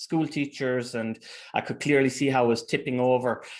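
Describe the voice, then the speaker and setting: A man with an Irish accent at a very fast pace, his intonation fairly even, against a quiet background. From Ireland. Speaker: teacher and researcher. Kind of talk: interview conversation.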